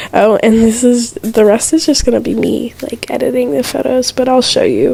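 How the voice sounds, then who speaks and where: Background noise is clearly audible while a woman talks at a middling speed. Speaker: video editing tutorial creator. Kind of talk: tutorial voiceover. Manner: casual, filler-heavy.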